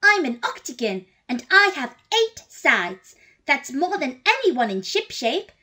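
A woman does a cartoonish character voice, high-pitched with very wide pitch swings. Her pace is fairly slow. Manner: excited, curious.

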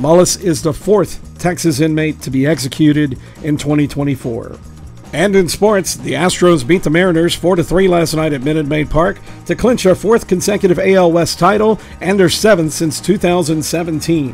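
A man's fairly high-pitched voice at a moderate pace, with ordinary pitch variation and music in the background. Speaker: local news presenter. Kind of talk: local news bulletin read.

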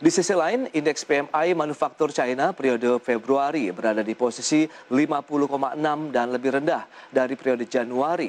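A man's fairly high voice at a moderate pace, ordinary pitch variation, an unremarkable speaking voice. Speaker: news anchor. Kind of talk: formal TV business newsreading. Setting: TV studio.

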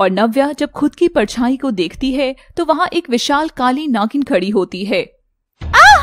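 Very wide pitch swings and an intense tone mark this woman's high-pitched voice. The sound is dry and close, with no echo. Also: hardly any pauses. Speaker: storyteller narrating animated story. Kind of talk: dramatic narration of an animated horror-fantasy story, with character voices. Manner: intense, suspenseful, emotional delivery; switches voices between characters.

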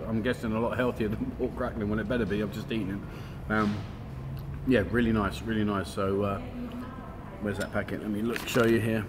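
A man talks at a fairly quick pace with fairly low pitch and fairly even intonation. Music plays in the background. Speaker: food vlogger. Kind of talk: casual vlog chat. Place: cafe. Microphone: phone near.

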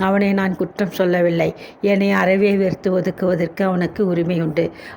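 Natural voice for reading

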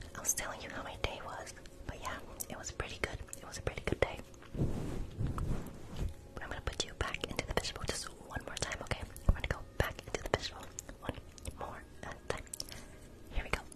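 A man speaks in a whisper, with long, frequent pauses. His pace is moderate. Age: 20s. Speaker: ASMR creator. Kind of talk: ASMR livestream role-play, talking to viewers. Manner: whispered, soft-spoken. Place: home room. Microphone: studio mic.

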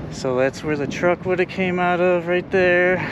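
A man's voice comes through dry with no echo, loud noise filling the background. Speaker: urban explorer vlogger. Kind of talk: casual vlog chat. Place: street. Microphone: phone near.

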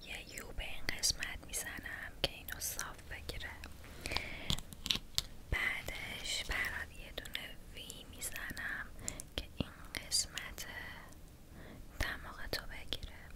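A woman whispers very slowly, leaving long pauses often between phrases. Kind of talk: ASMR roleplay talk to viewer. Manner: soft, hushed ASMR speaking voice. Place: home room.

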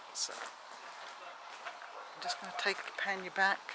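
Over noticeable background noise, a woman speaks in a dry sound with no echo. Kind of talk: casual vlog chat. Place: garden. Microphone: phone near.

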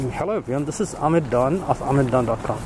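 Over noticeable background noise, a man talks at a fairly quick pace with a dry sound and no echo. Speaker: walking tour vlogger. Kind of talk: casual vlog narration. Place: street. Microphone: phone near.

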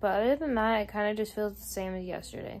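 A woman speaks at a fairly quick pace in a tired tone. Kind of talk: casual vlog chat. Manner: tired, slightly slurred post-surgery speech. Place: home room. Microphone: phone near.

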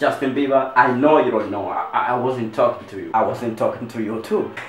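The room echo is audible. A man speaks at a moderate pace within it. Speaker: comedy vlogger. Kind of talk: casual comedic vlog chat. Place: home room. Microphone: phone near.

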